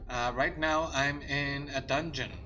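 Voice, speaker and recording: A man speaks with a non-native accent, and the room echo is audible. Music plays in the background. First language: not English. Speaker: gaming streamer. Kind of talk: casual gameplay commentary. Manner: halting, frequent fillers and repetitions.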